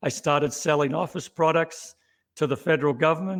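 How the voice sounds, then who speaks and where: A man with an Australian accent, fairly high in pitch, at a moderate pace with fairly even intonation, over a quiet background. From Australia, Melbourne. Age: 60s. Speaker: company CEO. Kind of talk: interview.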